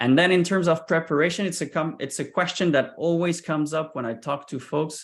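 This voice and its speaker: A man at a fairly high pitch with a non-native accent, moderate pace and a quiet background. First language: not English. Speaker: sales recruiter and founder. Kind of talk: presentation.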